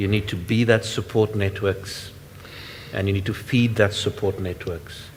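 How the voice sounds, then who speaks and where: There is noticeable background noise as a man with a fairly low pitch speaks at a moderate pace in a monotone, flat intonation. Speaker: workshop moderator. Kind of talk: panel moderation. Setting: workshop with live and online audience. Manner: loud.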